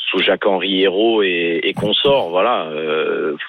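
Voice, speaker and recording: Noticeable background noise runs under the recording. A man speaks at a fairly low pitch. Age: 30s. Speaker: football supporter caller. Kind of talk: phone-in call.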